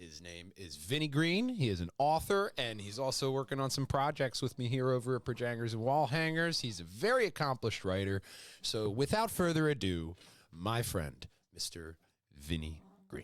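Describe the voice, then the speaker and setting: A man with a Philadelphia accent, medium in pitch, at a moderate pace with very wide pitch swings, on a very clean recording with a silent background. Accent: Philly. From Philadelphia suburbs, Delaware County. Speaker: podcast host. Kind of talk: casual interview chat.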